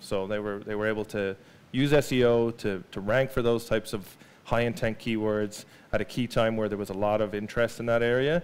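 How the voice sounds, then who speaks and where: Here a man talks with an Irish accent. His pace is fairly quick. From Ireland. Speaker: marketing data specialist, invited speaker; speaker. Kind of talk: presentation to a live audience. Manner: hesitant, many fillers and repeated words. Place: hall.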